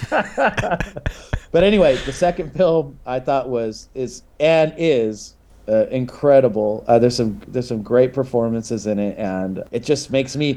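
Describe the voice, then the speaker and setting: A man speaks at a medium pitch with lively intonation. He has a normal speaking voice. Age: 40s. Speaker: musician, guest co-host. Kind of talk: casual interview.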